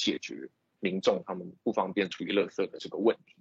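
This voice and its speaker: A man talking at a fairly quick pace, in a dry, close sound with no echo. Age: 20s. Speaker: startup co-founder. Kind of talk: lecture.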